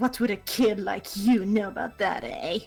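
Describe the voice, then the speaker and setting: A put-on character voice, fairly high in pitch, at a moderate pace over faint background music. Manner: slimy, smarmy.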